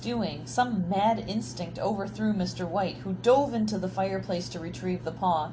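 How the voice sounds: The pitch shifts in an ordinary way as someone reads in a natural reading voice.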